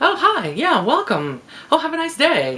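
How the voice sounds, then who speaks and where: A loud, high-pitched put-on character voice. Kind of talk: polite, professional. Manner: cheery, fake-friendly.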